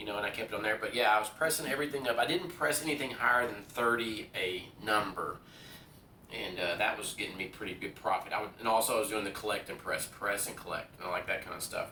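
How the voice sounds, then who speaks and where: A man with a medium-pitched voice talks at a very fast pace with lively intonation, with audible room echo and noticeable background noise. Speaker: craps video creator. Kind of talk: casual vlog talk while playing craps. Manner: hesitant, many fillers.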